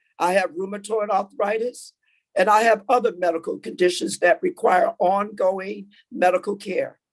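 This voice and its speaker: A woman with a normal speaking voice talks at medium pitch with lively intonation. Her pace is fairly slow. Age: 60s. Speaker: essential health care worker testifying. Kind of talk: public hearing testimony.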